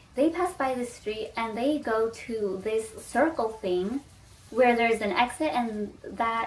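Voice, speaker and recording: A woman talks at a fairly slow pace with a fairly high pitch. Noticeable background noise runs under her voice. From Texas, U.S. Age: 20s. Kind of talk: casual talk to camera.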